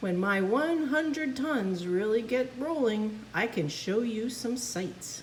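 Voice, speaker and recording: A woman puts on a character voice at a fairly high pitch, speaking at a fairly slow pace with hardly any pauses over clear background noise. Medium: read story.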